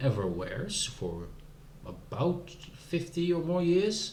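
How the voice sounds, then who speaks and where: A man with a Dutch accent, audible room echo and noticeable background noise. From Netherlands. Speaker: video game streamer. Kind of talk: casual gameplay commentary. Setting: live stream.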